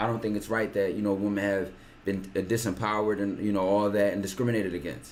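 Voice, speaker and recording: In a room with audible echo, a man speaks at a very fast pace, fairly low in pitch, with fairly even intonation. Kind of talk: casual chat.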